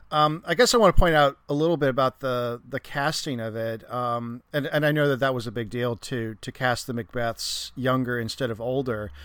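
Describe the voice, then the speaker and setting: On a very clean recording with a silent background, a man speaks at medium pitch with ordinary pitch variation. He has an unremarkable speaking voice and keeps a moderate pace with hardly any pauses. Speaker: guest discussing film.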